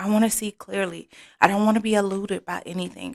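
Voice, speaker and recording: This woman is soft-spoken, her medium pitch held in a flat, monotone delivery. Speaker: tarot card reader. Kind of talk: oracle card reading.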